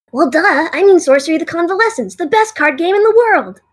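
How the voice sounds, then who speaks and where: In a put-on character voice at an extremely high pitch, the speaker goes at a fairly quick pace. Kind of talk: audio drama dialogue.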